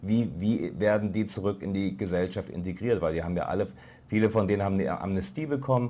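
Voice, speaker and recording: Talking at a very fast pace, a man with a fairly low pitch, a dark, mellow tone, vocal fry, and ordinary pitch variation is heard in a very clean recording with a silent background. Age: middle-aged. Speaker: foreign correspondent. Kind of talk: lecture. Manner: halting.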